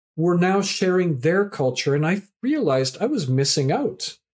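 A man with a plain, everyday voice, moderate in pace with ordinary pitch variation, in a very clean recording with a silent background. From Canada. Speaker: professor and community activator. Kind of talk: podcast interview.

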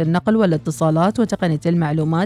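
Dry, close sound with no echo from a woman with a fairly low pitch and a dark, mellow tone. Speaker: radio host. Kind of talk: reading listener messages; news reading.

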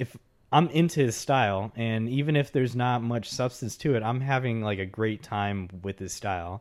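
At a moderate pace and with ordinary pitch variation, an ordinary speaking voice comes through with an American accent, the recording very clean and the background silent. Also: man, medium pitch for a man. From Texas. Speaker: podcast co-host. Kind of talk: casual chat.

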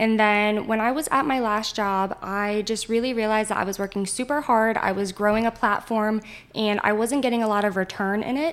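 A woman's ordinary speaking voice with an American accent, fairly high pitch, fairly even intonation and a fairly quick pace. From northern Virginia, Winchester. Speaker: realtor. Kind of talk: casual chat.

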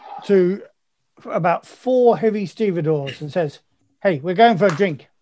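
Against a quiet background, the words are read aloud in a natural voice.

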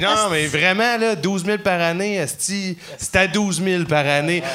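A man with a high voice speaks fairly slowly, with lively intonation. Audible room echo and noticeable background noise are present. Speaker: comedian. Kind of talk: casual chat. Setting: comedy club stage with audience.

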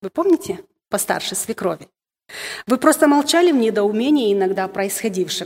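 Long, frequent pauses break up a woman's speech. Her pitch swings very widely as she keeps a moderate pace. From Moldova. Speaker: women's ministry speaker. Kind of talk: sermon. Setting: stage with audience. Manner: halting.

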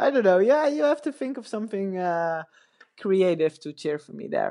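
A woman with a Dutch accent speaks at a moderate pace in a dark, mellow tone and a medium pitch. Her pitch swings very widely and her loudness swings a lot, over a quiet background. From Netherlands. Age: 30s. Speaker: retired pro cyclist. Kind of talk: casual interview. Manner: halting, many fillers.

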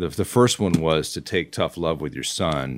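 On a very clean recording with a silent background, a man with an American accent speaks in a very deep, low pitch with vocal fry. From Oregon. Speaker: podcast host. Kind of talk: casual interview.

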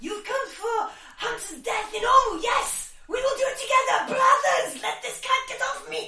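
A put-on character voice at an extremely high pitch carries a slight Eastern European accent as part of the act. There is a slight echo. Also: moderate pace. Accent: slightly Eastern European.

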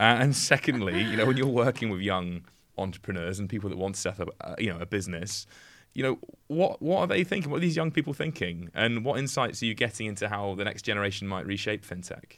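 Against a silent background in a very clean recording, a man speaks at a very fast pace. His pitch is fairly low and his intonation lively. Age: 30s. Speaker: podcast host. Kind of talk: interview.

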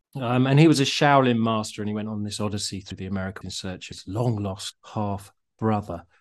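With a British accent, a man speaks at a fairly low pitch with ordinary pitch variation against a quiet background. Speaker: podcast host. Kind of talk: casual chat. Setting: video call. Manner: joking, chatty.

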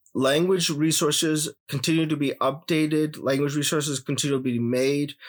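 A man speaks at a moderate pace with a Punjabi accent, recorded very cleanly against a silent background. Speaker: challenge participant. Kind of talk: casual interview.

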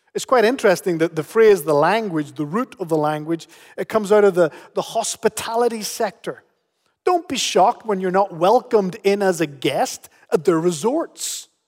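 A man with a high pitch and lively intonation talks at a moderate pace. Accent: Northern Irish. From Canary Islands, Spain, then Northern Ireland from 13. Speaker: pastor. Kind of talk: sermon.

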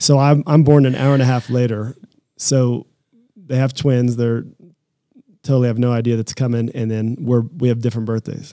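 A man with an American accent speaks at a moderate pace and medium pitch, pausing long and often. His tone is dark and mellow, his intonation monotone and flat. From Kansas, US Midwest (Lawrence). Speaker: company co-founder and president. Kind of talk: casual interview.

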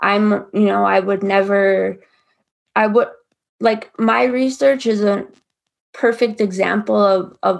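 A woman talks at a fairly slow pace with an American accent. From Minnesota, Ojibwe reservation. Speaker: student researcher and advocate. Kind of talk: interview testimony.

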